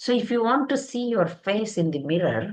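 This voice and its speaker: Speaking with an Indian accent, a woman shows vocal fry and a fairly high pitch. Her voice makes very wide pitch swings at a moderate pace. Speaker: spiritual teacher. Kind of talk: lecture. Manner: halting.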